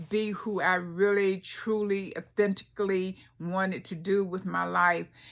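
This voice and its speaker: A woman speaks with an American accent at a medium pitch and a fairly slow pace. Her intonation stays monotone and flat. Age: 70s. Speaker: fashion vlogger. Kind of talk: casual personal vlog monologue. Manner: halting, many fillers.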